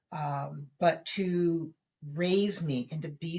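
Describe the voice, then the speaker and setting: A woman talks with an American accent and a somewhat breathy voice. Her intonation stays fairly even. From Southern California. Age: 40s. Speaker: author. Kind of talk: podcast interview. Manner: halting, many fillers.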